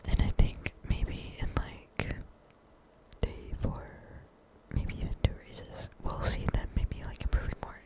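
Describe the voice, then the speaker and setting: Noticeable noise hums in the background. Over it, a woman whispers. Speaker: ASMR creator. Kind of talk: casual talk to camera. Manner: whispered.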